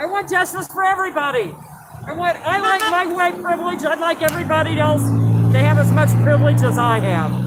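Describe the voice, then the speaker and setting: Someone with an American accent speaks at a fairly quick pace while crowd noise carries in the background. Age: 70s. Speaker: protester. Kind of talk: street interview.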